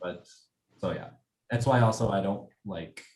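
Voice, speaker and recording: Fairly slow male speech with an American accent. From US Southwest, Albuquerque, New Mexico. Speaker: design student. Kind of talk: casual chat. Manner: hesitant, many fillers.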